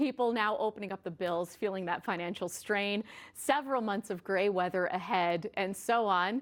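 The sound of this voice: A woman speaks at a medium pitch. Her pace is moderate, and her pitch varies in an ordinary way.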